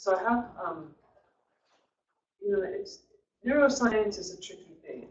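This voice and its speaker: The speaker is loud and moves at a fairly slow pace. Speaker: guest presenter. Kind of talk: presentation. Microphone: too quiet for online listeners.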